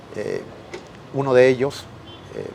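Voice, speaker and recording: Noticeable background noise sits behind the recording. A man talks with a Mexican accent at a moderate pace. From Mexico. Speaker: professor and researcher. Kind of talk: interview. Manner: formal; hesitant with fillers.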